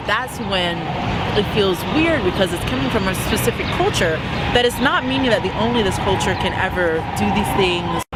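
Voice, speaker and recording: A woman speaks at a moderate pace with very wide pitch swings. Music plays in the background. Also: medium pitch for a woman. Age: young. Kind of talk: interview answer.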